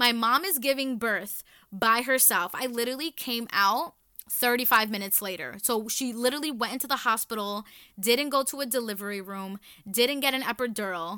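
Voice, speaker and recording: A woman with an American accent speaks loudly at a moderate pace, with a fairly high pitch and ordinary pitch variation. Her tone is animated, bright and sharp, on a very clean recording with a silent background. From New York City, the Bronx. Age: 20s. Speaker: podcast host. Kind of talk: casual monologue.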